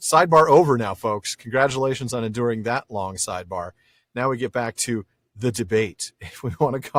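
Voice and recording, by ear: The speaker is reading aloud in a natural voice over a quiet background.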